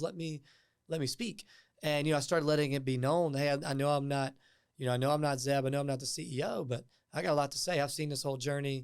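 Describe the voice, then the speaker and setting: A man talks at a very fast pace with a fairly high pitch and ordinary pitch variation in a very clean recording with a silent background. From US South, Martinsville, Virginia. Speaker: tech startup co-founder and public speaker. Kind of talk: podcast interview. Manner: energetic.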